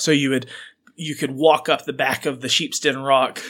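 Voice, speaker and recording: A man speaks at a fairly quick pace with a Southern US accent, his pitch fairly high. The recording is very clean, with a silent background. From Arkansas. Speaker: podcast co-host. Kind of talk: casual chat. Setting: studio.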